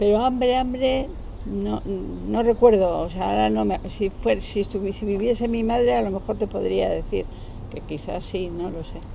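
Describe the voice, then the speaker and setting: There is noticeable background noise and audible room echo. A woman speaks at a moderate pace. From Basque Country (San Sebastián), from age eight; born in Málaga, family from Ceuta. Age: 70s. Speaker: interviewee recalling the postwar era. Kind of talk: casual interview. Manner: hesitant, with fillers.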